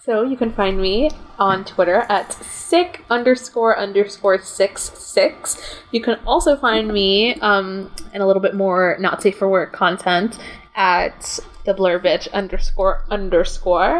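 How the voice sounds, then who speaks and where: At a fairly slow pace, a woman speaks at medium pitch with ordinary pitch variation, over noticeable background noise. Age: 20s. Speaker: film writer and podcast host. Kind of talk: casual chat.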